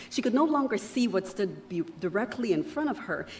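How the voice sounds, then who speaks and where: A woman speaks at a moderate pace with lively intonation amid noticeable background noise. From Panama. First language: Spanish. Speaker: keynote speaker. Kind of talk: keynote speech. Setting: luncheon event with audience. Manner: formal.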